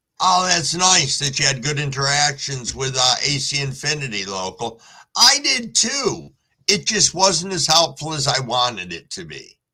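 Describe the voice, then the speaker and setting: Vocal fry runs through this man's bright, sharp voice, pitched fairly high. He moves at a moderate pace, with very wide pitch swings. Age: 60s. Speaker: live streamer, cannabis grower. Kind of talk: casual live stream chat reading comments. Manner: relaxed, conversational.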